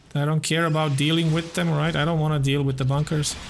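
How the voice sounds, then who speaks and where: With audible room echo, a man talks in a monotone, flat intonation at a fairly high pitch. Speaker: gaming YouTuber. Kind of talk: gameplay commentary. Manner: quiet.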